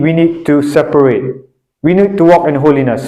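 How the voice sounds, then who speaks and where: A man with a non-native accent and a dark, mellow tone, at a moderate pace, with audible room echo. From Northeast India (Shillong, Meghalaya). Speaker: preacher. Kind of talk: sermon. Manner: halting, with frequent repetitions and fillers.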